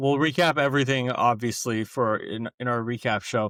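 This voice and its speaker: A man speaks at medium pitch with ordinary pitch variation in a normal speaking voice. The sound is dry and close with no echo, on a very clean recording with a silent background. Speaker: college football podcast co-host. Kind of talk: casual chat.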